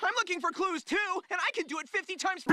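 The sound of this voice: A man rattles along at a very fast pace in a cartoonish character voice. His pitch is extremely high.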